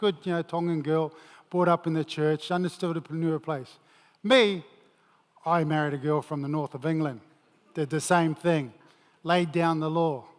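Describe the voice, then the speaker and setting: Here a man speaks with a New Zealand accent. His voice sits fairly high in pitch. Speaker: former rugby player and mental health speaker. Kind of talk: motivational talk. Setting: stage with audience.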